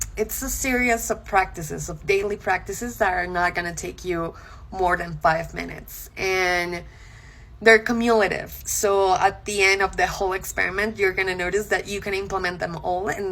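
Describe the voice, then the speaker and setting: Someone with a Spanish accent talks at a moderate pace. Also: woman. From Colombia. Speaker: content creator. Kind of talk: casual talk to camera. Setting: social media video.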